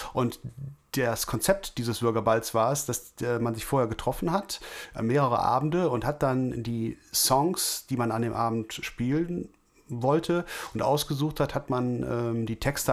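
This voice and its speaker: The speaker has a normal speaking voice with ordinary pitch variation. The pace is fairly slow. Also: man, medium pitch for a man. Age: 40s. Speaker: podcast co-host, office worker and guitarist. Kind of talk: casual chat. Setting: remote call.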